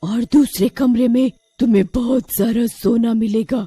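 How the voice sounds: A cartoonish character voice speaks at a fairly high pitch and a fairly slow pace. Faint music plays in the background.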